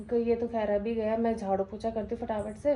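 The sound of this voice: The voice has a dark, mellow tone and keeps a moderate pace. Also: woman.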